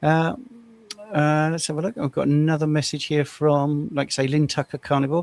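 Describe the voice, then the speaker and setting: Speaking at a fairly quick pace with an English accent, a man uses a fairly high pitch and fairly even intonation. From England. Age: 60s. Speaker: carnivore diet coach. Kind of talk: casual chat. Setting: live stream.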